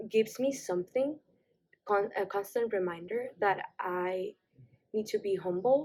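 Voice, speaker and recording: A woman speaks with a Mexican accent. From Mexico, Tijuana. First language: Spanish. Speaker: college student. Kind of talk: interview. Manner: halting, with restarts.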